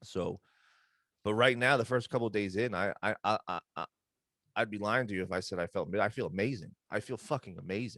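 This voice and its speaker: A man with a fairly low, bright, sharp voice at a fairly quick pace, in a dry, close sound with no echo. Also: ordinary pitch variation. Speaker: podcast co-host. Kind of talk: casual chat. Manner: fast.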